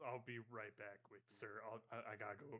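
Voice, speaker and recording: Using a put-on character voice, a man holds a medium pitch in a monotone, flat intonation. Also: moderate pace. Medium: actual play. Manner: blunt, casual, profane.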